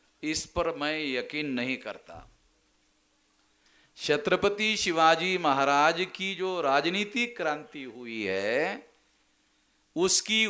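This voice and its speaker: In a Marathi accent, a man speaks with lively intonation and a bright, sharp tone. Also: very clean recording, silent background. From Maharashtra, India. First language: Marathi (speaking Hindi). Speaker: political activist speaker. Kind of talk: public speech. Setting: convention stage with audience. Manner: explanatory, didactic.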